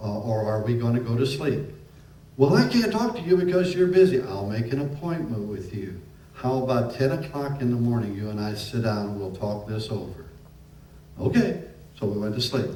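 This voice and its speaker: A man with an American accent talks at a medium pitch and moderate pace, with noticeable background noise and audible room echo. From US Midwest. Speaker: preacher. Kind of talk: sermon. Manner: harsh.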